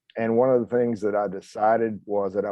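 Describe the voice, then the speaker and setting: A man talks at a fairly low pitch with monotone, flat intonation. His pace is fairly quick. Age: 60s. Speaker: retired firefighter paramedic, coaching client. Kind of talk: testimonial interview.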